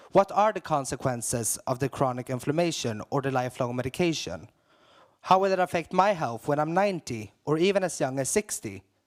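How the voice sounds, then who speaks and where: This man has a plain, everyday voice, fairly high in pitch, with lively intonation at a fairly quick pace. The very clean recording has a silent background and a dry, close sound with no echo. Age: 20s. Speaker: HIV activist. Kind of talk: prepared speech at conference opening.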